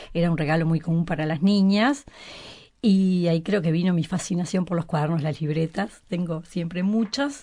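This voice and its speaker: Dark and mellow in tone, a woman's fairly low voice moves at a moderate pace with ordinary pitch variation over a quiet background. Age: 60s. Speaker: writer. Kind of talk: interview.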